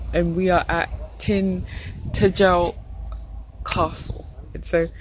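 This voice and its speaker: A woman speaks in a dry sound with no echo over light background noise. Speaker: travel vlogger. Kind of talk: casual vlog chat. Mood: amused, recounting a tiring walk. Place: street. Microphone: phone near.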